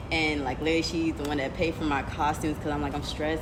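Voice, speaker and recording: Over noticeable background noise, the words come very fast. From New York City, Brooklyn. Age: 20s. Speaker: dancer. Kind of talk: interview. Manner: casual, filler-heavy.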